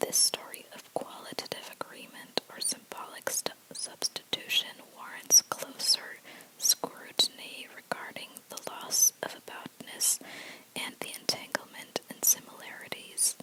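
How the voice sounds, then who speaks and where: At a fairly slow pace, a whispering voice comes through noticeable background noise. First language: not English. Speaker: ASMR creator. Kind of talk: reading aloud. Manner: soft-spoken; halting.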